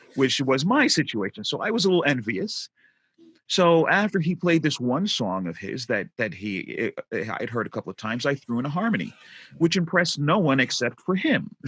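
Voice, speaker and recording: Dry and close with no echo, a man's voice with an American accent shows vocal fry and very wide pitch swings. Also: fairly high pitch for a man, moderate pace. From New York, Brooklyn. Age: 50s. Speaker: tech entrepreneur and musician. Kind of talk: podcast interview storytelling.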